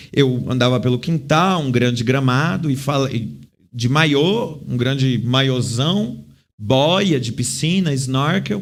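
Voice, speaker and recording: A man speaks at a fairly high pitch with ordinary pitch variation. Audible room echo surrounds his voice. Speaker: clown and theatre actor. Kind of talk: interview.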